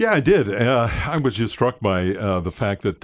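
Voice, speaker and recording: A man talks at a moderate pace with ordinary pitch variation. The recording is very clean, with a silent background. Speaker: former police officer and private detective, voiceover artist. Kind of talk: testimony. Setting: studio. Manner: halting, with many fillers.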